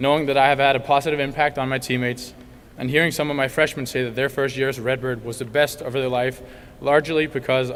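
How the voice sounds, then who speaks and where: A man speaks very fast in a Danish accent. His medium-pitched voice keeps a monotone, flat intonation. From Denmark, Copenhagen suburbs. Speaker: college tennis player. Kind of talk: banquet speech.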